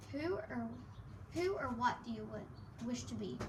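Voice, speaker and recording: Loud background noise sits behind a woman doing a put-on character voice at a moderate pace. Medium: read story. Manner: solemn, ritual.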